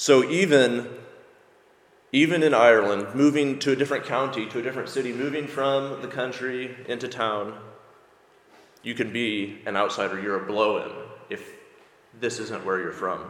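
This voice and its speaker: A man with an American accent at a medium pitch and moderate pace, with ordinary pitch variation, long, frequent pauses and noticeable background noise. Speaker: preacher. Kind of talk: sermon. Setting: church.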